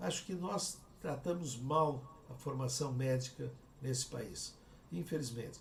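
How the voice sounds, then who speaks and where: Vocal fry runs through a man's voice, which shows ordinary pitch variation amid audible room echo. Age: 70s. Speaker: cardiac surgeon and professor. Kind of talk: interview conversation.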